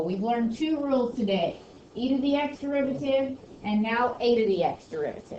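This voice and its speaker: Talking at a fairly quick pace, a woman uses lively intonation and a fairly high pitch, with audible room echo around her. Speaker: high school math teacher. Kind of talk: classroom lecture. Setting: classroom.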